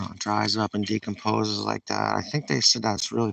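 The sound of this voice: Speaking at a moderate pace with a New England accent, a man has a fairly low pitch, a fairly bright tone, vocal fry and little pitch movement.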